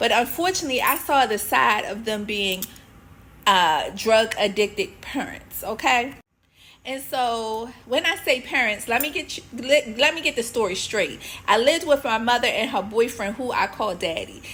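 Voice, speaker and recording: A woman with a Baltimore accent speaks in a fairly high pitch at a moderate pace, with an animated tone and lively intonation. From US, Baltimore, Maryland. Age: 50s. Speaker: author and women's faith coach. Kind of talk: personal testimony. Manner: conversational, animated.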